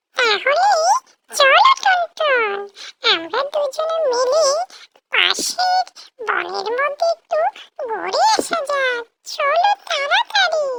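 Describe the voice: A cartoonish character voice, squeaky and extremely high in pitch, goes along at a very slow pace.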